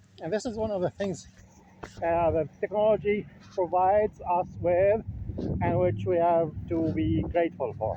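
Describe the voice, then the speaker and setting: A man with a Levantine accent speaks in a high pitch with lively intonation. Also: moderate pace. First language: Levantine Arabic. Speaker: linguistics vlogger. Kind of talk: casual vlog monologue. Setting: outdoors, walking. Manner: halting, many fillers.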